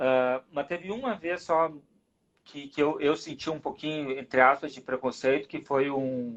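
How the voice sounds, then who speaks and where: Fairly even intonation at a fairly slow pace, with big swings in loudness. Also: man, fairly high pitch for a man. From southern Brazil, Rio Grande do Sul. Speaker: rugby referee. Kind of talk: casual interview chat.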